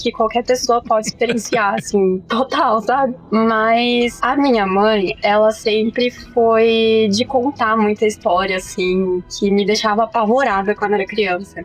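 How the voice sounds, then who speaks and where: In a normal speaking voice, a woman talks at a fairly slow pace with hardly any pauses, a fairly high pitch, fairly even intonation and very even loudness. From southern Minas Gerais, Brazil (Cambuí). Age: 20s. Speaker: English teacher. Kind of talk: casual chat.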